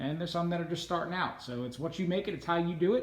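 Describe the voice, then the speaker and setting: Audible room echo surrounds a man speaking with a high pitch. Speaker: lantern collector, video host. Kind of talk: casual show-and-tell tour. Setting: home man cave room. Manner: fast.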